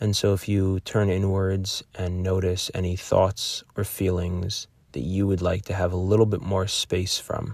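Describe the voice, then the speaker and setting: In a very clean recording with a silent background, a man with a very deep, low pitch and a somewhat breathy voice speaks at a fairly slow pace in a monotone, flat delivery, with hardly any pauses. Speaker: meditation guide. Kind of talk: guided meditation.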